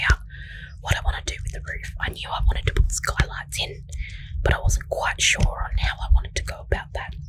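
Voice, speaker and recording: Someone is whispering at a fairly quick pace. Noticeable background noise runs underneath. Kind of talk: whispered gaming narration for relaxation. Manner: whispered.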